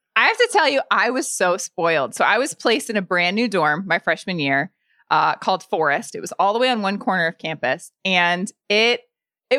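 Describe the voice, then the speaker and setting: In a bright, sharp tone, a woman talks at a fairly quick pace and a medium pitch with very wide pitch swings, the sound dry and close with no echo on a very clean recording with a silent background. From Indiana, US Midwest. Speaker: podcast host, guest. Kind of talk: casual chat.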